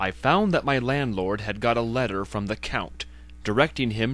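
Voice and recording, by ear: Pitch varies in an ordinary way as the speaker is reading aloud in a natural voice.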